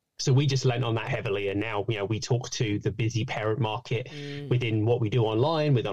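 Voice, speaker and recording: A man with a British accent, medium-pitched and somewhat breathy, at a very fast pace. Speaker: fitness coach and podcaster. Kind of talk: casual interview chat.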